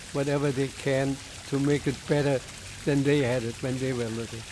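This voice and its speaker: The speaker has a German accent, and there is noticeable noise in the background. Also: man. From Germany, Berlin. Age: 90s. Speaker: Holocaust-era refugee telling life story. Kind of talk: oral history testimony. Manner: halting.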